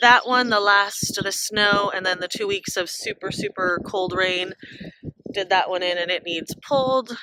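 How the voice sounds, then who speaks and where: With fairly even intonation and a fairly slow pace, a woman talks while noticeable background noise carries on. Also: medium pitch for a woman. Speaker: home gardener vlogger. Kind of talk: garden tour. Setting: outdoors. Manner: casual, meandering.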